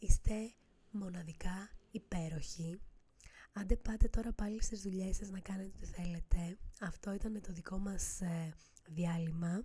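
Her voice at a medium pitch, a woman sounds dark, mellow and somewhat breathy, with fairly even intonation and long, frequent pauses. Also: fairly slow pace, big swings in loudness. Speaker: podcast host. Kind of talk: casual monologue.

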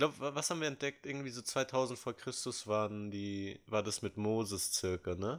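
A man speaks in a normal speaking voice at a medium pitch, with ordinary pitch variation and a moderate pace. The recording is very clean, with a silent background. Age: 20s. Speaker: podcast co-host. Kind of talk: casual chat.

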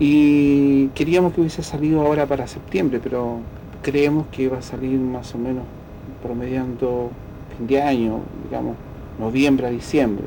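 Through noticeable background noise and audible room echo, a man speaks at a moderate pace with a medium pitch and fairly even intonation. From Chile, rural Linares province. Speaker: folk musician and researcher. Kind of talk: radio interview. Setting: at his home.

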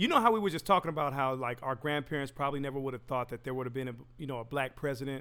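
Talking at a very fast pace with hardly any pauses, a man uses a fairly high pitch, ordinary pitch variation and a bright, sharp tone. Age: 40s. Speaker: podcast host and DJ. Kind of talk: casual chat. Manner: animated, laughing often.

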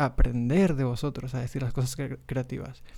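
In a very clean recording with a silent background, a man of medium pitch speaks at a moderate pace with a dark, mellow tone and fairly even intonation. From Mexico, Monterrey. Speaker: podcast host, graphic designer. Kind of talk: casual monologue. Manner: hesitant, many fillers.

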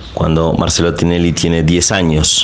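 Amid noticeable background noise and audible room echo, a man speaks in a very deep, low voice. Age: 40s. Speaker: journalist. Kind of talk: interview testimony. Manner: halting, repeats words.

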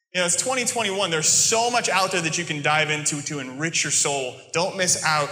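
With a General American accent, a man with a high pitch talks at a moderate pace with hardly any pauses and ordinary pitch variation over noticeable background noise. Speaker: preacher. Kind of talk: sermon. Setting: church with congregation.

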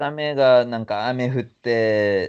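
At a medium pitch with ordinary variation, a man talks in an unremarkable speaking voice. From Yokohama/Yokosuka, Japan. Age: 30s. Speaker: actor and MC. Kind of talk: casual interview chat.

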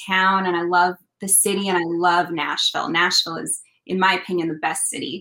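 A woman speaks at a fairly quick pace with a Canadian accent. Her tone is bright and sharp. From British Columbia, Canada. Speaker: country singer-songwriter. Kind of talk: casual interview chat. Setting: video call from home.

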